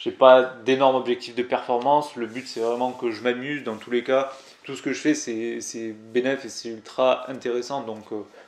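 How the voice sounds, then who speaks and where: The speaker has a Toulouse accent and a monotone, flat intonation at a moderate pace. Loudness swings widely. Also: man, medium pitch for a man. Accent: southern French (Toulouse). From Toulouse, southern France. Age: 20s. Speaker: climbing youtuber. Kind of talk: casual vlog storytelling. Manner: casual, hesitant with many fillers.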